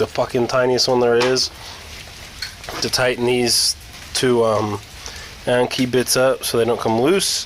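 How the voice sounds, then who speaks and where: Noticeable background noise accompanies this man's medium-pitched voice, delivered at a moderate pace. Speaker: car enthusiast. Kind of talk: car repair tutorial, casual talk to camera. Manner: casual, hesitant.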